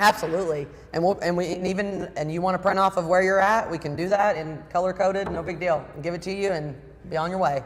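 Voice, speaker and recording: The animated voice moves at a very fast pace over noticeable background noise. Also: woman, fairly low pitch for a woman. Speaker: service department manager. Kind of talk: casual chat. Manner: loud.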